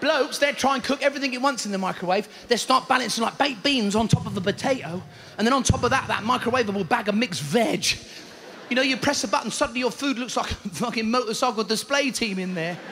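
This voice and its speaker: Over light background noise, a man talks very fast in a raised, projected voice with ordinary pitch variation. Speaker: stand-up comedian. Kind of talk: stand-up comedy routine. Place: stage. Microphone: handheld.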